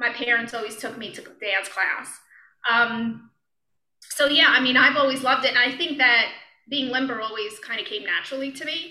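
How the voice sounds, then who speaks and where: A woman with an American accent speaks in a high, bright, sharp voice with big swings in loudness and audible room echo. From Brooklyn, New York. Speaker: yoga and meditation teacher. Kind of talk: casual interview. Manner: halting, many fillers and restarts.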